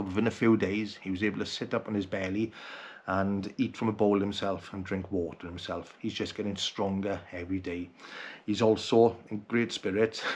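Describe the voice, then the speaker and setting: A man with a Welsh accent talks in a fairly low pitch with monotone, flat intonation. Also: moderate pace. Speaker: outdoor vlogger. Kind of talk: personal video message. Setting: at home at night.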